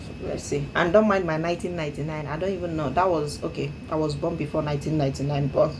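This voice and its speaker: A woman's very fast speech in an African accent, very deep and low with vocal fry, amid audible room echo. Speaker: English speaking learner. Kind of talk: speaking practice monologue. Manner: hesitant with frequent fillers.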